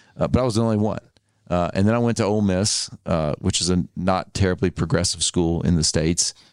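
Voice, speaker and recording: In an Arkansas accent, a man speaks at a fairly quick pace with a very deep, low pitch, ordinary pitch variation and very even loudness. The sound is dry and close with no echo, over a quiet background. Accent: Southern US (Arkansas). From US South, Arkansas. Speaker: author and advertising agency founder. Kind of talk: casual chat.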